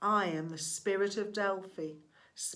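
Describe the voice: Someone reads aloud plainly, and the pitch shifts in an ordinary way.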